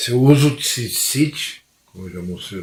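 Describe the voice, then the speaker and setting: Lively intonation from a man's somewhat breathy voice. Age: 60s. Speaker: former pastor, religious commentator. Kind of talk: religious monologue to camera.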